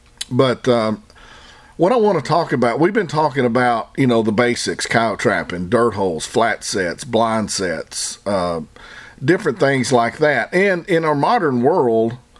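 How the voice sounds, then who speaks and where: A man talks at a fairly slow pace with a Southern US accent. His pitch swings very widely. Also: medium pitch for a man. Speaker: trapping podcast host. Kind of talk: solo podcast monologue. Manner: casual, conversational.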